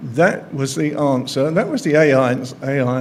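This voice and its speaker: A man's fairly high-pitched voice with fairly even intonation, plus audible room echo and noticeable background noise. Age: 70s. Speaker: journalist. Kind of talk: speech at an event.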